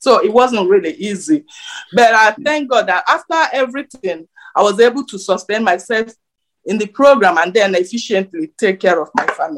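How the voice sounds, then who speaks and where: A woman with a Nigerian accent and lively intonation. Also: fairly high pitch for a woman, moderate pace. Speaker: nurse. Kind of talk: interview. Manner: hesitant, filler words.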